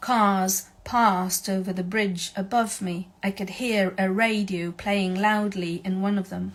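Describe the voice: Fairly even intonation runs through what is plain reading aloud.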